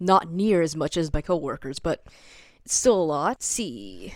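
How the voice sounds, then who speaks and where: A fairly slow pace in a very clean recording with a silent background. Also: woman. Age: 20s. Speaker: vlogger. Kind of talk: casual vlog talk to camera.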